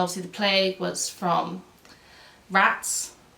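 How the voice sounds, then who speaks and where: This is a woman speaking. Her pitch is medium. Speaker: YouTube presenter on medical history, nurse. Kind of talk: casual educational talk to camera. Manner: halting, self-correcting.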